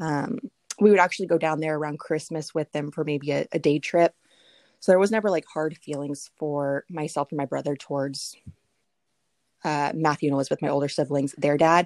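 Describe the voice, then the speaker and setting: Speech at a fairly quick pace with ordinary pitch variation comes through a very clean recording, dry and close with no echo and a silent background. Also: woman, very deep, low pitch for a woman. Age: 20s. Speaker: podcast guest, young mother. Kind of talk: casual chat. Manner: outspoken.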